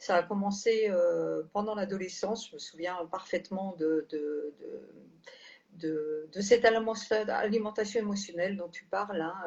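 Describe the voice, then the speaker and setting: With noticeable background noise behind her, a woman speaks at a fairly slow pace in a medium pitch with ordinary pitch variation. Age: 60s. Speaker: health care manager, former nurse. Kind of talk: testimony. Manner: halting, many hesitations.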